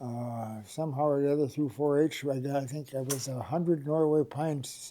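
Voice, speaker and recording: With an Upper Midwest accent, a man speaks at a moderate pace in a dark, mellow tone, his fairly high pitch carrying fairly even intonation. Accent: Upper Midwest (Minnesota). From Minnesota (Rush City area). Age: 80s+. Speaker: oral history interviewee. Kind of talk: oral history interview. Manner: halting, many fillers.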